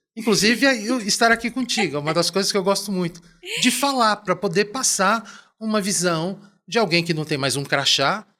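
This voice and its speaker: A man's high-pitched voice is raised and projected at a moderate pace, with ordinary pitch variation. The recording is very clean, with a silent background. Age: 60s. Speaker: business executive and professor. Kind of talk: podcast interview. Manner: hesitant, repeating words.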